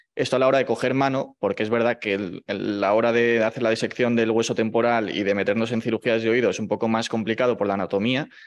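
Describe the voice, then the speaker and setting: Against a quiet background, a man talks at a very fast pace in a monotone, flat intonation with hardly any pauses. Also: medium pitch for a man. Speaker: medical resident in ENT. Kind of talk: presentation.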